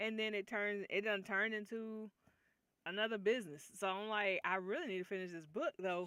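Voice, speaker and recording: A loud woman at a fairly quick pace, medium pitch and a bright, sharp tone, with ordinary pitch variation. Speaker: writing livestreamer. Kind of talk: casual livestream chat.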